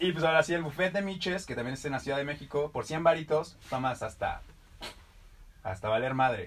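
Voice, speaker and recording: A fairly high-pitched man speaks fairly quickly, his pitch varying in an ordinary way. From Mexico, Irapuato. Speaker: podcast co-host. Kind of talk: casual comedic chat. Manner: animated.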